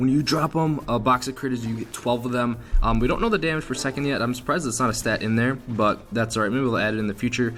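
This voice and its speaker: A man's medium-pitched voice at a very fast pace, with fairly even intonation and music in the background. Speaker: gaming youtuber. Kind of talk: gameplay commentary. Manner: casual, halting with restarts.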